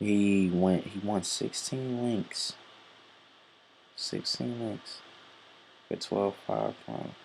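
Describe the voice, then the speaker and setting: The soft-spoken delivery moves at a very slow pace, with long, frequent pauses. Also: man. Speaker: horse racing handicapper. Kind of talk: handicapping tutorial. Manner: halting, many fillers.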